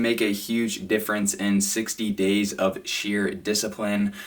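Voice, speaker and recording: Over noticeable background noise, a man speaks very slowly at a fairly low pitch. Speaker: fitness content creator. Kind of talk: casual Q&A monologue.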